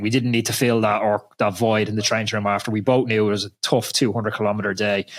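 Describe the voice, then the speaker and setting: With an Irish accent, a man speaks at a fairly quick pace. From Ireland. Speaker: podcast host, former pro cyclist. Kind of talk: casual interview chat.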